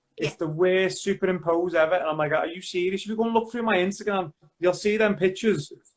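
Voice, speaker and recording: A man with a Liverpool accent speaks very fast in a high voice. His intonation stays fairly even. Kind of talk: casual conversation.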